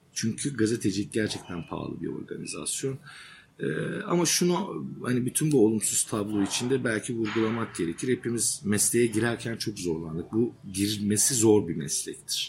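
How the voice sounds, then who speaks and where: Here a man speaks at a moderate pace with lively intonation and medium pitch. It is an ordinary speaking voice. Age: 40s. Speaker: journalist and author. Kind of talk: interview. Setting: journalism workshop.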